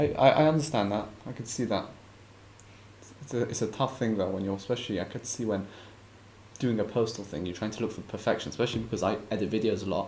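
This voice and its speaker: A man's fairly low, somewhat breathy voice moves at a very fast pace with ordinary pitch variation. Long, frequent pauses break up his speech. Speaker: podcast host. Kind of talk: interview. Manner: stutters a bit.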